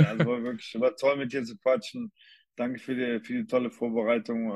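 With a Cologne accent, a man speaks at a moderate pace in a medium pitch with lively intonation against a quiet background. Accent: Cologne-tinged German. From Cologne, Germany. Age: 50s. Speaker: former American football player. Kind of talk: casual interview chat.

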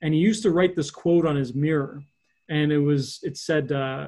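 Against a quiet background, a man with a Canadian accent speaks at a moderate pace in a fairly high, somewhat breathy voice with a dark, mellow tone and fairly even intonation. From Ontario, Canada (Hamilton area). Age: 30s. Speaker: economic development strategist. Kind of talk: interview.

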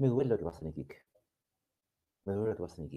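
Very wide pitch swings mark a man's fairly low, somewhat breathy voice, dark and mellow in tone, delivered at a very fast pace. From Chile. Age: old. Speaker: YouTube talk show host, lawyer. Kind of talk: monologue to live chat audience. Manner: formal.

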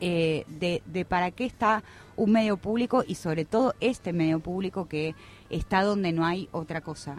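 A woman's fairly low voice at a moderate pace with ordinary pitch variation, an unremarkable speaking voice. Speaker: radio worker and union representative. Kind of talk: radio interview.

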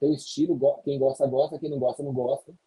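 A man's somewhat breathy voice. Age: 50s. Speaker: sales trainer. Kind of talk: podcast interview.

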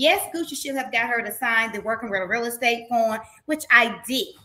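Bright and sharp in tone, a woman with a Southern US accent speaks at a moderate pace in a high pitch. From Mississippi. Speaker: reality TV personality. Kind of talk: interview. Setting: video call.

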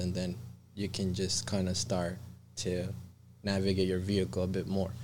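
In a room with audible echo, a man with a very deep, low pitch speaks in a dark, mellow tone with monotone, flat intonation. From Colombia. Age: 30s. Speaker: shamanic practitioner. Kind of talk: casual chat.

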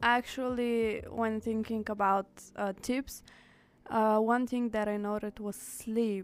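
A woman with a fairly high voice, very slow and monotone, flat in intonation. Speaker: student radio host. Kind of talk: casual chat. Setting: studio.

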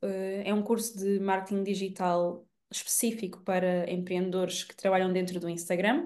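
A normal speaking voice at a moderate pace. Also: woman. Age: 20s. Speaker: digital marketing entrepreneur. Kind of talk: casual chat.

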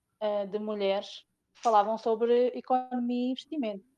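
A woman speaks with a Portuguese accent. Her pitch is fairly high and her pace moderate. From Portugal. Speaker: crypto investor. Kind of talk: casual chat.

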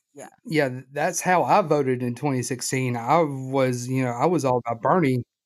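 In a plain, everyday voice, a man at medium pitch talks at a moderate pace with hardly any pauses, fairly even intonation and big swings in loudness. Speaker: podcast host. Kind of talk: casual podcast interview.

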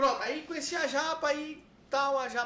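In a room with audible echo, a man uses a raised, projected voice. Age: 40s. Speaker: videomaker. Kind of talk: casual interview chat.

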